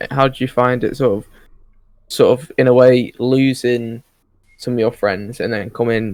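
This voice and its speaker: A man with a British accent, medium pitch, moderate pace and monotone, flat intonation. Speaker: podcast host. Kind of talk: casual chat.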